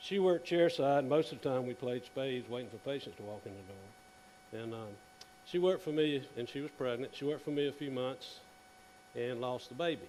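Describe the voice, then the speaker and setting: Over noticeable background noise, a man with a Southern US accent talks at a fairly quick pace, with ordinary pitch variation and big swings in loudness. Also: medium pitch for a man. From South Carolina. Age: 60s. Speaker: dentist. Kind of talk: conference presentation. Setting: stage with audience. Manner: casual.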